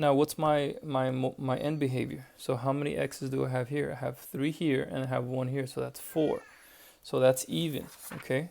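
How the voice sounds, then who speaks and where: A man's ordinary speaking voice at medium pitch, moderate pace and fairly even intonation. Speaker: math teacher. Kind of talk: tutorial. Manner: casual, thinking aloud.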